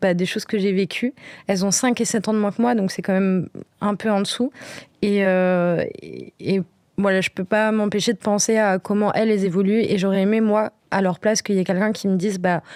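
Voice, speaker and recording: Dry and close with no echo, a woman's medium-pitched voice keeps fairly even intonation at a moderate pace. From Brittany, France. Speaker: podcast guest. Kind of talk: casual interview. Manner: hesitant, many fillers.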